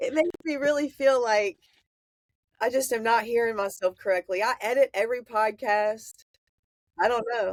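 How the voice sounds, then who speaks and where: A woman with a Southern US accent, fairly high in pitch with ordinary pitch variation, at a moderate pace with long, frequent pauses, in dry, close sound with no echo. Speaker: podcast host. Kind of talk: casual chat.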